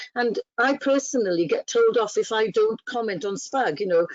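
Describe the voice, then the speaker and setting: Speaking with a Welsh accent, a woman uses a fairly high pitch and lively intonation. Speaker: training officer. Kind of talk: webinar guest talk.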